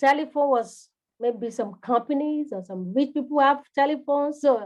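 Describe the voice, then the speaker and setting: Here a woman with a Nigerian accent speaks fairly slowly. Her high voice shows ordinary pitch variation. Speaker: home care business coach. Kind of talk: live coaching session. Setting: livestream.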